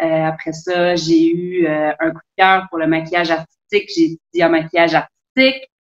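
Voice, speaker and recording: The speaker is a woman. She talks in a Quebec accent. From Quebec, South Shore of Montreal. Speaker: sailor and travel blogger. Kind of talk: casual interview.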